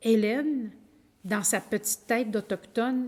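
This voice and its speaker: A woman speaks with a Quebec accent at a very slow pace. Her pitch sits fairly high. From Quebec (Innu community, Lac-Saint-Jean region). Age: 60s. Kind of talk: lecture. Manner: halting.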